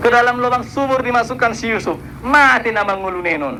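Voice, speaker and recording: A man talks in a raised, projected voice at an extremely high pitch and a very fast pace. Noticeable background noise and audible room echo surround him. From Batak region, North Sumatra, Indonesia. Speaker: preacher. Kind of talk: sermon. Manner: animated.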